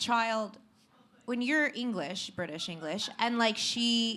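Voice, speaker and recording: Her tone is animated and her pitch high. The woman keeps a fairly slow pace. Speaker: reality TV star and publicist. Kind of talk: casual chat. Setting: stage with audience.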